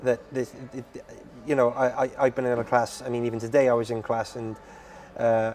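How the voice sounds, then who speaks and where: Speaking at a fairly quick pace, a man uses a medium pitch and monotone, flat intonation, with big swings in loudness over noticeable background noise. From Britain. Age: 30s. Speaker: podcast host. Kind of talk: casual interview. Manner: halting, many fillers.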